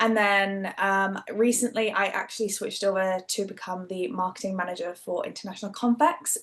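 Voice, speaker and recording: A woman speaks with a Geordie accent. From northern England, Newcastle. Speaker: event marketing manager. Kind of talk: webinar panel talk. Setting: video call.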